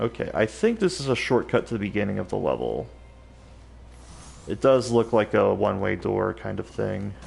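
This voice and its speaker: A man at a moderate pace, with long, frequent pauses and music in the background. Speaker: gaming streamer. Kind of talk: live gameplay commentary. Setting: live stream. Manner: casual, halting with fillers; stuttering.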